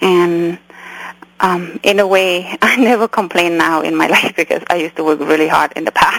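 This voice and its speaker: The speaker has a Cambodian accent and keeps a moderate pace with fairly even intonation. The sound is dry and close with no echo, though background noise is noticeable. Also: woman, fairly low pitch for a woman. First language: Khmer. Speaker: memoir author, doctor, refugee. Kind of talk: interview, personal storytelling.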